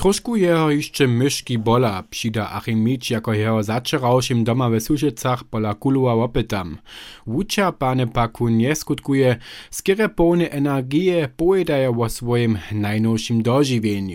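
Heard in a very clean recording with a silent background, an ordinary speaking voice moves at a moderate pace with lively intonation. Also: man, medium pitch for a man. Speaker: radio reporter. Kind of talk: radio feature report.

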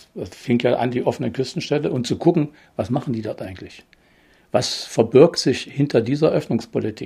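A man speaks at a fairly quick pace in a medium pitch with a dark, mellow tone. His pitch varies in an ordinary way while his loudness swings widely. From eastern Germany, Börde (Saxony-Anhalt). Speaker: retired economic planner. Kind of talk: interview. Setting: at home. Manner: halting.

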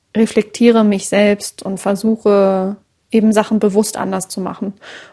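In a very clean recording with a silent background, a woman speaks at a medium pitch and moderate pace with monotone, flat intonation. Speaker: podcast host and journalist. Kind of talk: interview.

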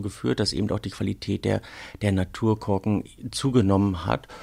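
The speaker is a man with vocal fry. He talks at a moderate pace. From northern Germany, Rügen. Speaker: wine sommelier. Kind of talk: casual interview. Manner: halting.

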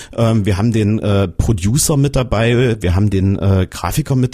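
A man speaks in a fairly low voice with a dark, mellow tone. The sound is somewhat breathy. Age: 40s. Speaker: radio reporter. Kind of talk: casual panel discussion.

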